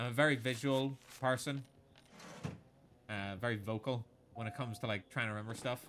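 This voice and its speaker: Pitched at a medium level, a man talks at a fairly quick pace with fairly even intonation, broken by long, frequent pauses. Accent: Irish. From Ireland. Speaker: video game streamer. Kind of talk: casual chat. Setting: live stream. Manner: thinks aloud.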